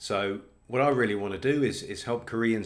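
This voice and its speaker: A man with a British accent speaks at a fairly low pitch. His pace is moderate and his pitch variation ordinary. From Britain. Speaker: test company representative. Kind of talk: presentation.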